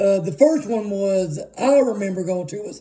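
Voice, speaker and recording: A man's high-pitched voice with a dark, mellow tone, in an Arkansas accent at a fairly slow pace. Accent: US Southern (Arkansas). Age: 30s. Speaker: music vlogger. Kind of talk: casual monologue. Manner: rambling, filler-heavy.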